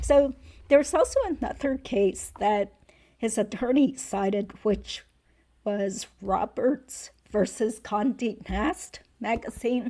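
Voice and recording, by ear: Putting on a character voice, a woman speaks at a fairly slow pace and fairly high pitch. Her voice is raspy and hoarse.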